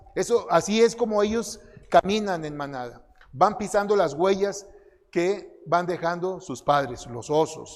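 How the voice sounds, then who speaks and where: With noticeable background noise behind him, a high-pitched man with a Mexican accent speaks at a fairly slow pace, his intonation lively and his loudness swinging widely. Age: 60s. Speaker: conference speaker. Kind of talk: sermon.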